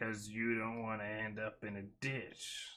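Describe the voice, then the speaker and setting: Using a put-on character voice, a man talks at a fairly slow pace with a medium pitch. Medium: read story. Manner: purring, flirtatious.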